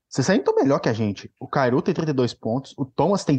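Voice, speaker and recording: A man talks at a moderate pace in an unremarkable speaking voice. The background is quiet. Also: dry, close sound with no echo. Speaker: backup hockey podcaster. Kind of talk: casual chat.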